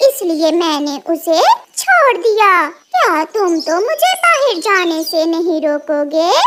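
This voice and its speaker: A female-sounding cartoonish character voice at an extremely high pitch and a very slow pace. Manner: sharp, snappy.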